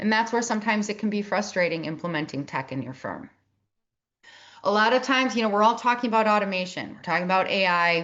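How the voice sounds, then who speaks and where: A woman with a Midwestern accent speaks with ordinary pitch variation. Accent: Midwest. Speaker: tech and operations consultant for advisory firms. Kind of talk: webinar presentation.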